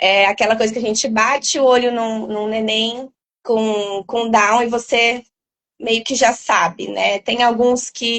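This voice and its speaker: A fairly high-pitched woman talks fairly slowly, her intonation monotone and flat. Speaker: doctor specializing in sleep. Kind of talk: interview explanation. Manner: loud. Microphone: poor headset audio at first.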